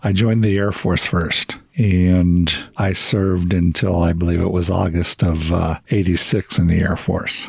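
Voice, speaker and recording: With noticeable background noise behind him, a man with an American accent speaks at a fairly slow pace in a very deep, low pitch, his intonation fairly even and his loudness very even. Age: 60s. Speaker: military veteran. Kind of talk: casual interview storytelling.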